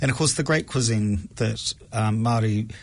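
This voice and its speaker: Fairly low-pitched male voice, somewhat breathy in quality. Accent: New Zealand. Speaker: food project co-founder. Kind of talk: casual interview chat. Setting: radio studio.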